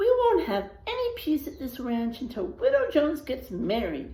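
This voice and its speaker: A woman's put-on character voice, high-pitched with very wide pitch swings, at a moderate pace over light background noise. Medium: read story.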